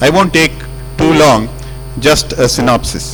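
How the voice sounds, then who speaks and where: Amid noticeable background noise, a man talks at a moderate pace. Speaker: senior telecom executive addressing engineers. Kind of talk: speech to staff. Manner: loud.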